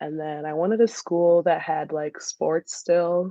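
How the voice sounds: Speaking at a slow pace, a woman has a low pitch and a dark, mellow tone, with fairly even intonation and a dry, close sound with no echo.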